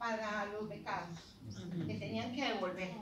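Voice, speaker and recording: Intense in tone, a woman speaks with ordinary pitch variation through audible room echo and noticeable background noise. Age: 80s+. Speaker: retired academic, program founder. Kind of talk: speech to an audience. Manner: intense, impassioned; halting, with fillers.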